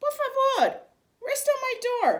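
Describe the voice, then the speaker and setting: A woman's put-on character voice, squeaky and extremely high in pitch, with fairly even intonation. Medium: read story. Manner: warm, easygoing, mixes Spanish words.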